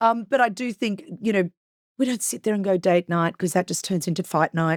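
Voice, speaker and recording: With an Australian accent, a woman speaks at a fairly quick pace and a medium pitch, her tone animated and her pitch variation ordinary. The sound is dry and close, with no echo. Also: very clean recording, silent background. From Queensland, Australia. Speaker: businesswoman and reality TV personality. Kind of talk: podcast interview. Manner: loud.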